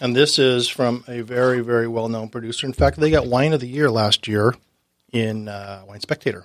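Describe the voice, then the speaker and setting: A man with an American accent and a normal speaking voice, medium in pitch, at a moderate pace with ordinary pitch variation and big swings in loudness, on a very clean recording with a silent background. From Southern California (Orange County). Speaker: wine sales representative. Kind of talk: casual chat. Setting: studio.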